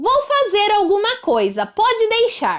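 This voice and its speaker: Using a put-on, gruff character voice, a woman speaks fairly slowly at an extremely high pitch with ordinary pitch variation. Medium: read story.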